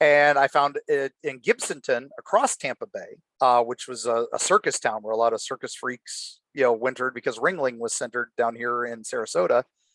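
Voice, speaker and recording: An American-accented man at a fairly quick pace with hardly any pauses, in a dry, close sound with no echo. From Florida, USA. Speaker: horror author and guest. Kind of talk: casual storytelling in a podcast interview.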